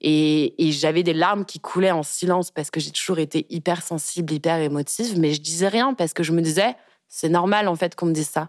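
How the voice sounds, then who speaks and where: A woman with an ordinary speaking voice, fairly low in pitch, at a fairly quick pace with ordinary pitch variation, in a very clean recording with a silent background. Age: 20s. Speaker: communications officer sharing personal story of harassment. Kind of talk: testimony. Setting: studio.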